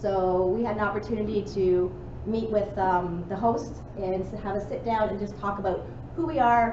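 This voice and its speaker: A woman at a moderate pace, ordinary pitch variation, noticeable background noise. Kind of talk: meeting announcements. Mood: friendly, informal. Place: hall. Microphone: camera far.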